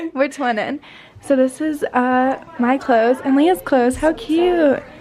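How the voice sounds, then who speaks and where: Speaking at a fairly slow pace, a woman with a high pitch keeps her loudness very even and her pitch variation ordinary, with noticeable background noise behind her. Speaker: lifestyle vlogger. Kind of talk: casual vlog chat.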